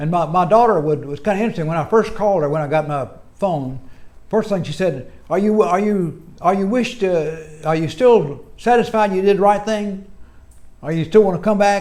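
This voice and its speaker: Here a man speaks at a moderate pace. His pitch is high, with ordinary pitch variation. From United States. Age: 80s+. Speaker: retired engineer. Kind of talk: interview answer.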